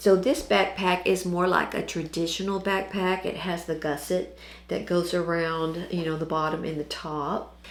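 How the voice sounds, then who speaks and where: With hardly any pauses and fairly even intonation, the speech comes through audible room echo and noticeable background noise. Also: woman, moderate pace. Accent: American. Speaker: sewing channel host. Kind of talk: tutorial. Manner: casual with fillers.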